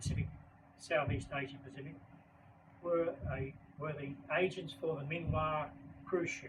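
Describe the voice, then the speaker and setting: A man with an Australian accent speaks at a fairly high pitch with fairly even intonation, and audible room echo surrounds his voice. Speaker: baking educator and author. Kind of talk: book talk presentation. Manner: fast.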